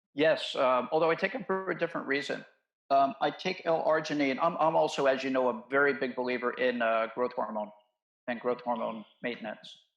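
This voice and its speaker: Over music in the background, a man in an American accent speaks at a fairly quick pace, medium in pitch with ordinary pitch variation. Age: 60s. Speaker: medical doctor. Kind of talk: interview conversation.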